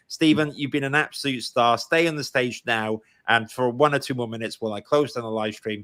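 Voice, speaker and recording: A man with a Welsh accent at a fairly quick pace and medium pitch, with ordinary pitch variation and a bright, sharp tone, dry and close with no echo. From Wales. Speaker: podcast host. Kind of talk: live stream interview.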